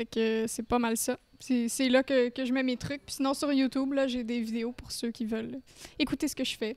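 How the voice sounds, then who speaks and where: Her speech is fairly slow, high-pitched and monotone, with flat intonation. This woman is recorded in a dry sound with no echo. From Eastern Ontario. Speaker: singer; guest. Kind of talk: casual chat. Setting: brewery. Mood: warm, relaxed. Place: factory. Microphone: handheld.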